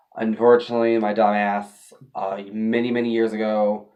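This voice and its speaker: The man's voice is fairly low in pitch. His intonation is monotone and flat. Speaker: tarot video creator. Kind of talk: casual tutorial vlog. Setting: home apartment. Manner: casual, halting.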